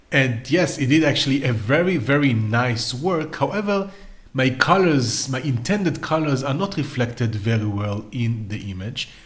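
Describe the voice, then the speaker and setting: In a room with audible echo, a man with a medium-pitched, somewhat breathy voice speaks at a moderate pace with lively intonation. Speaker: AI art tutorial creator. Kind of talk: tutorial.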